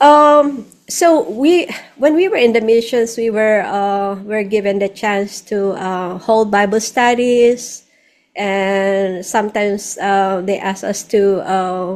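Over a quiet background, a woman with a Filipino accent speaks at a very slow pace. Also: medium pitch for a woman, ordinary pitch variation. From Philippines. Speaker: singer-songwriter, nurse, missionary; interview guest. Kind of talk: interview answer. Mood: warm, grateful. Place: home room. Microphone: studio mic.

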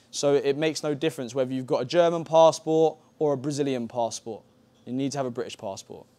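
With an English accent, a man speaks at a fairly quick pace and a fairly high pitch, showing ordinary pitch variation. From England. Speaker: football coach. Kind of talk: lecture. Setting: camp masterclass with audience. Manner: repetitive filler okay. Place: hall. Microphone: lapel.

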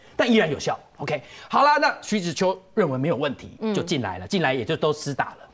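Rushing at a very fast pace, a man with a fairly high pitch and vocal fry swings his pitch very widely. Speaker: TV pundit. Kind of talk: TV political talk show, storytelling.

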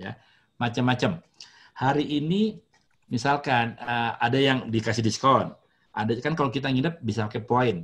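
This man talks at a moderate pace with ordinary pitch variation. His voice is somewhat breathy, and the background is quiet. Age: 50s. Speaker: hotelier; guest lecturer. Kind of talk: lecture. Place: home room. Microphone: webcam.

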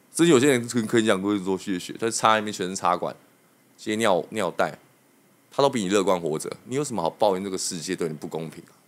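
Speaking very fast with lively intonation, a man with a fairly low pitch swings widely in loudness. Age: 30s. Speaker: hairdresser; podcast guest. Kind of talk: casual chat. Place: studio. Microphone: studio mic.

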